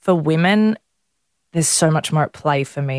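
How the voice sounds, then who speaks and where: A woman with an Australian accent at a moderate pace, dry and close with no echo, on a very clean recording with a silent background. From Melbourne, Australia. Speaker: blogger. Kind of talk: interview.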